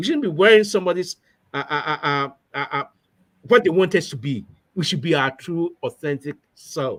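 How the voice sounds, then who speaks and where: With a Ghanaian accent and a high pitch, a man speaks at a moderate pace with lively intonation and long, frequent pauses, captured on a very clean recording with a silent background. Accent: Ghanaian accent, kept. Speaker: professor. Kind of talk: interview. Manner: halting, many fillers and repetitions.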